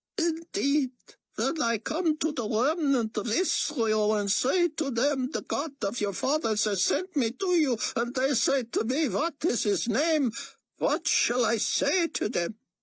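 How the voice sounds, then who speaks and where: At a fairly slow pace, a man uses a put-on character voice pitched extremely high. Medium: read story. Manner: faint, hesitant.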